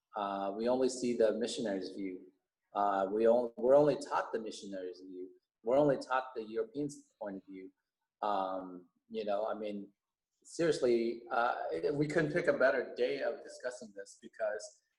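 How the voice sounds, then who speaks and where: Speaking at a moderate pace with a Californian accent, a man shows big swings in loudness and ordinary pitch variation. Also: medium pitch for a man. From US West Coast, Alhambra, California. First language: Vietnamese. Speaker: teacher, school board candidate. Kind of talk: podcast interview. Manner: halting, many fillers.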